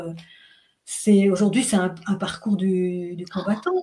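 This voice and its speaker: At a moderate pace, a woman of medium pitch talks in a somewhat breathy voice with monotone, flat intonation. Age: 60s. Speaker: menopause health practitioner. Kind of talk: interview.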